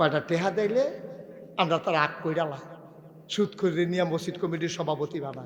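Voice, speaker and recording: The man's voice is high-pitched. His pitch moves in an ordinary way. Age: 50s. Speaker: Islamic preacher. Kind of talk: sermon. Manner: animated.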